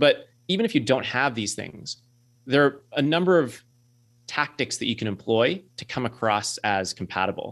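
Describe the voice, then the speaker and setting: A man with an ordinary speaking voice talks with lively intonation. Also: medium pitch for a man, moderate pace. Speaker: career adviser and author. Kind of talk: radio interview.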